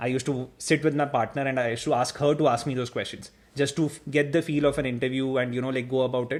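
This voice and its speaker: A man's fairly high voice at a very fast pace, with fairly even intonation, on a very clean recording with a silent background. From India. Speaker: engineer and former master's student. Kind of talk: interview.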